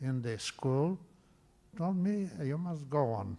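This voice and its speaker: A man speaks very slowly with lively intonation, a fairly high pitch and a non-native accent. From Romania (Bessarabia). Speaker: composer. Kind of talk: interview. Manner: halting.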